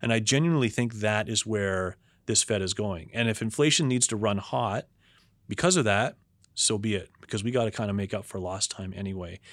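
An unremarkable speaking voice with a Canadian accent at a fairly quick pace, ordinary pitch variation, and a very clean recording with a silent background. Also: man, fairly low pitch for a man. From Canada, Toronto. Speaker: investment strategist. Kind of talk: interview.

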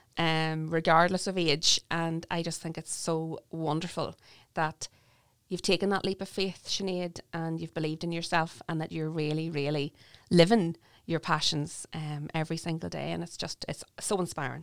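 A woman talks at a moderate pace with a fairly low pitch and flat, monotone intonation. The recording is very clean, with a silent background. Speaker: podcast host. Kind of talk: interview.

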